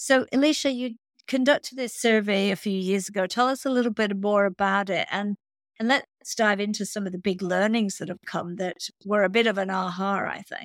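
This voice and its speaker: In an ordinary speaking voice, a woman talks at medium pitch and a fairly quick pace with ordinary pitch variation, captured as a dry, close sound with no echo on a very clean recording with a silent background. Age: 60s. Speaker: podcast host. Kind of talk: interview.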